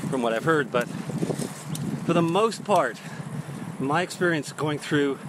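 Against noticeable background noise, a man talks at a moderate pace with ordinary pitch variation, and the sound is dry with no echo. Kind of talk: casual vlog chat. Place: bicycle. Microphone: earbuds.

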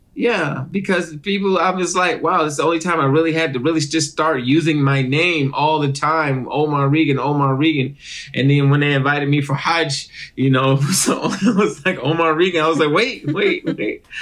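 Speaking at a moderate pace with hardly any pauses, a man keeps his loudness very even, his fairly high voice showing ordinary pitch variation. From Detroit, Michigan, US. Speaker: actor and comedian. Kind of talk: casual interview chat. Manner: animated.

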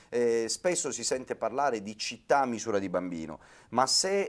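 A man's speech carries lively intonation, with little sound behind him. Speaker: city councillor. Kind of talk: debate discussion. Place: studio. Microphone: lapel.

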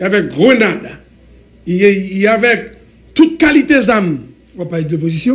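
Speaking with a Haitian accent, a man uses a high pitch and very wide pitch swings. His pace is fairly slow, with long, frequent pauses. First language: Haitian Creole (speaking French). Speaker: government supporter; guest. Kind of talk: heated debate. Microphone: studio mic.

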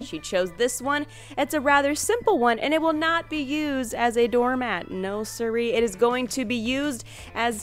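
A woman speaks at a high pitch with lively intonation and a moderate pace. Music plays in the background, and the sound is dry with no echo. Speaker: narrator of craft channel. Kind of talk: tutorial voice-over narration.

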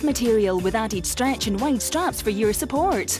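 With music in the background, a woman in a Scottish accent talks at a fairly quick pace and a fairly high pitch. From Scotland. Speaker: voice actor. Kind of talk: TV commercial read.

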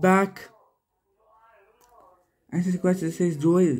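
A man speaks at a very slow pace in a high voice. His intonation stays fairly even, with a slightly mellow tone.

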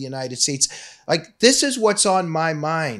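Fairly slow speech comes from a man, his pitch varying in an ordinary way. Behind him the background stays quiet. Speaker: political commentator on a web show. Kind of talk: commentary. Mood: critical, sarcastic. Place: studio. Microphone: studio mic.

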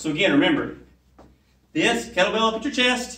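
A man raises and projects his voice with a bright, sharp tone. Audible room echo follows his words. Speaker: fitness trainer. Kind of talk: tutorial. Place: gym. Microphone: camera far.

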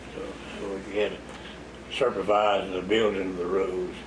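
Someone with an American accent speaks at a fairly slow pace over noticeable background noise. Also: man. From US South, Florida Panhandle (West Bay); Florida. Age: 80s+. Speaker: retired road builder and local elder; interviewee. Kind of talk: oral history interview. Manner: halting. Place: home room.

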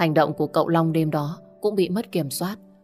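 Faint music plays behind a woman speaking at a fairly slow pace. Her fairly low voice has ordinary pitch variation. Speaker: audiobook narrator. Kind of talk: audiobook story narration. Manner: expressive. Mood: warm, low, expressive. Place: home room. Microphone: studio mic.

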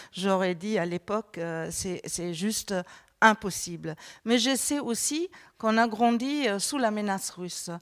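In a quiet background, a woman with a normal speaking voice talks at a fairly slow pace, her medium pitch showing ordinary pitch variation. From Germany. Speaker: politician; panelist. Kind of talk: panel discussion. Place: studio. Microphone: handheld.

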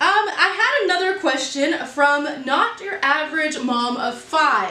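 A woman speaks in a raised, projected voice over noticeable background noise. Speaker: baking vlogger. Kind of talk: casual vlog chat. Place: kitchen.

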